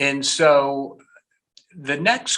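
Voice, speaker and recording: A man speaks at a fairly high pitch. His tone is bright and sharp. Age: 60s. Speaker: business consultant. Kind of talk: interview conversation.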